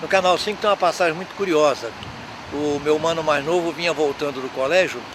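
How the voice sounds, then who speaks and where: A man's intonation stays fairly even. Behind him, noticeable background noise is present. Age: 80s+. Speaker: elderly local resident interviewee. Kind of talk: reminiscing interview.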